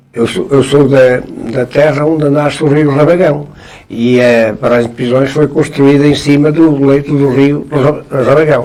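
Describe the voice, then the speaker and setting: Against noticeable background noise, a man speaks fairly slowly at a fairly high pitch with fairly even intonation. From northern Portugal, Trás-os-Montes (Barroso). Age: 80s+. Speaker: veteran journalist and writer. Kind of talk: interview. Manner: halting, many repetitions.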